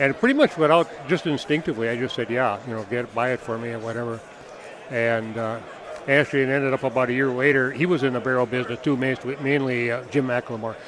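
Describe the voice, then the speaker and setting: Fairly even intonation carries very fast speech amid noticeable background noise. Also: man. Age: 70s. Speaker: barrel maker. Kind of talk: interview. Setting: trade show booth.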